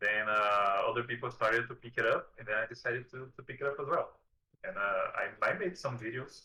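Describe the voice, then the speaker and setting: Fairly quick speech in a Portuguese accent, with big swings in loudness. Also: man. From southern Brazil. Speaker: video creator about a card game. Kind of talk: interview. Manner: halting.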